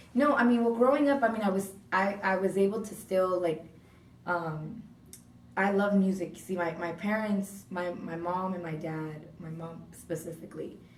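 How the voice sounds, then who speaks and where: Moving at a moderate pace with ordinary pitch variation, the voice shows big swings in loudness amid audible room echo. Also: woman, medium pitch for a woman. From Southern California, Orange County (Laguna Hills). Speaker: radio host. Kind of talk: interview. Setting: radio studio. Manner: casual, animated.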